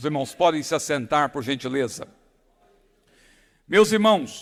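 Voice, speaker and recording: A man is speaking. His intonation is lively. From São Paulo, Brazil. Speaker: pastor. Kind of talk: sermon. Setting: church.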